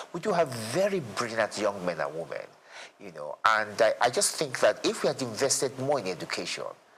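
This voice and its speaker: A man speaks at a fairly quick pace in a medium pitch, his voice swinging very widely in pitch and loudness. Noticeable background noise is present. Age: 60s. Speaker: lawyer and former state commissioner. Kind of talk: interview. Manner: halting, with frequent repetitions.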